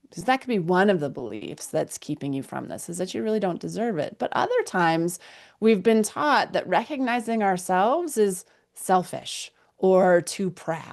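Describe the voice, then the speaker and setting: An ordinary speaking voice with lively intonation and big swings in loudness, at a moderate pace against a quiet background. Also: woman, medium pitch for a woman. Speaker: mindfulness guide and energy healer. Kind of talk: guided mindfulness session. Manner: warm, encouraging, conversational.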